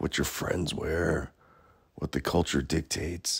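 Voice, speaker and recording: A man talks at a fairly slow pace in a very deep, low voice with vocal fry and fairly even intonation. The recording is very clean, with a silent background. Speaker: artist. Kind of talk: casual podcast monologue.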